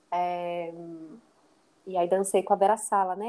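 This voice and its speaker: Speaking at a fairly slow pace, a woman keeps a medium pitch and monotone, flat intonation. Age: 30s. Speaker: dancer and dance teacher. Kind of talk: interview conversation.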